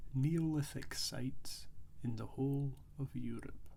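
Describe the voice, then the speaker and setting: The voice is soft-spoken. It moves at a very slow pace. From Scotland. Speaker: ASMR creator. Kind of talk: quiet talking ASMR travelogue, informative narration. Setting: outdoors at an ancient site. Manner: quiet, soft-spoken, relaxed.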